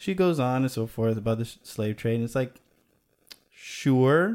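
Heard in a very clean recording with a silent background, a man with an American accent uses a normal speaking voice at a fairly slow pace and medium pitch, with ordinary pitch variation. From Chicago. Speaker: video maker. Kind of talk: casual chat.

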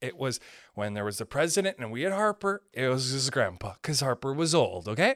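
Loud and animated, a man talks at a fairly quick pace and medium pitch with very wide pitch swings, in a dry, close sound with no echo on a very clean recording with a silent background. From Canada. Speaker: podcast host; stand-up comedian. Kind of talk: casual comedic rant. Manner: loud, animated, profane; angry, fired up.

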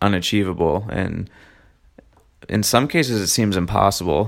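In a plain, everyday voice, a man speaks at a moderate pace with a fairly low pitch and ordinary pitch variation. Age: 20s. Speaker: podcast host. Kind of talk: solo monologue. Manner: casual with frequent fillers.

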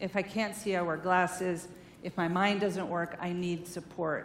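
The woman's voice sits at a medium pitch. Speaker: therapist and guest speaker. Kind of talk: sermon-style talk to a church congregation. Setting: church with audience. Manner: animated, energetic.

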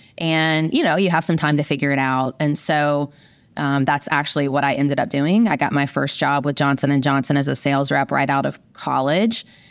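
A woman with a Southern US accent speaks at a fairly quick pace in a very deep, low voice, her loudness very even and her intonation fairly even. The recording is very clean, with a silent background. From US South, rural Virginia. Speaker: biotech company CEO. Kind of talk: interview. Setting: podcast interview.

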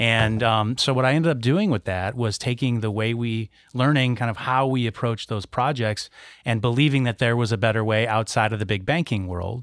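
A man with an ordinary speaking voice and an American accent talks at a fairly quick pace and medium pitch with ordinary pitch variation, in a very clean recording with a silent background. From west Michigan, US. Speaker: business founder and former banker. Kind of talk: casual chat.

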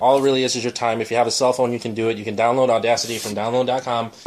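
In an American accent, a man speaks at a very fast pace in a flat monotone, with noticeable background noise behind him. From Chicago area. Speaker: podcast host and editor. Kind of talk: casual chat. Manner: fast talker.

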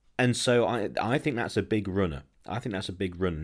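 This man has an English accent and a very deep, low pitch, with ordinary pitch variation. He speaks at a moderate pace in a very clean recording with a silent background. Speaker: football podcast host. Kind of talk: casual chat.

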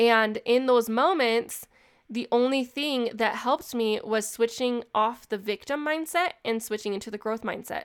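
In a very clean recording with a silent background, a woman with a fairly high pitch speaks in an animated tone at a moderate pace with ordinary pitch variation. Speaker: podcast host and business owner. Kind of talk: solo podcast monologue.

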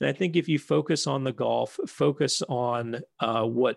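A man's voice with lively intonation, dry and close with no echo, over a quiet background. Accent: American. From Chicago area, US (north shore), earlier Philadelphia. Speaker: golf society territory manager, former pro golfer. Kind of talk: casual chat. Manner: hesitant, many fillers.

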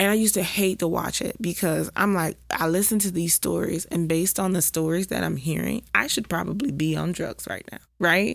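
A woman with a fairly low pitch and vocal fry speaks at a fairly quick pace with hardly any pauses. Her pitch variation is ordinary. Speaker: podcast host. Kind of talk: casual chat. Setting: studio.

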